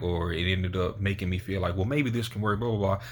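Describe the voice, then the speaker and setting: With an unremarkable speaking voice, a man talks in a fairly low pitch and fairly even intonation. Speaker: motivational YouTuber. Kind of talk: motivational talk to camera. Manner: casual, conversational.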